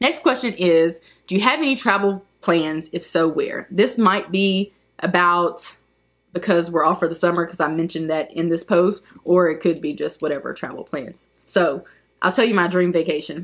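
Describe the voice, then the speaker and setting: A woman with a plain, everyday voice talks at a moderate pace. Her pitch is fairly low and shows ordinary pitch variation. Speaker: YouTuber. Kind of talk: casual chat.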